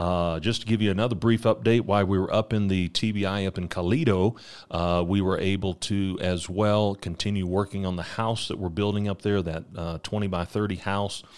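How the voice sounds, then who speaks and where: In a very clean recording with a silent background, a man talks at a fairly quick pace with an American accent. His is an ordinary speaking voice, fairly low in pitch, with fairly even intonation. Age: 40s. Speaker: missionary preacher. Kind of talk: ministry update; devotional podcast sermon. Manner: frequent fillers and repetitions.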